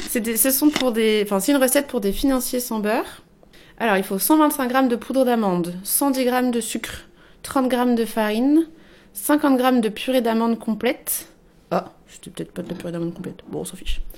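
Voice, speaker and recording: A woman with a high voice talks at a moderate speed, her pitch varying in an ordinary way. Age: 20s. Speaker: climate activist. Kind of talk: casual chat; reading aloud.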